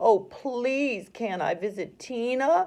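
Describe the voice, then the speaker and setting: Putting on a character voice, a man speaks very slowly at an extremely high pitch with lively intonation. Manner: begging, pleading.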